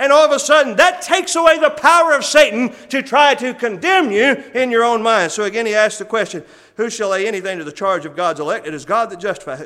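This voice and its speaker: In a raised, projected voice, a man talks at a fairly quick pace with very wide pitch swings. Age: 40s. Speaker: church elder preaching. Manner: earnest, conversational preaching with rhetorical questions and occasional laughs; hesitant fillers (uh) between emphatic declarations.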